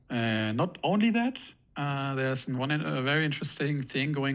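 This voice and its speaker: Fairly slowly, a man talks with a non-native accent. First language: not English. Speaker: trading educator. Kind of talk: live stream discussion. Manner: halting.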